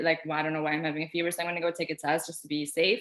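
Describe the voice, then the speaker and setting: A woman talks with an Albanian accent. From Albania, moved to US at ten. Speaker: pharmacy student. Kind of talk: casual chat.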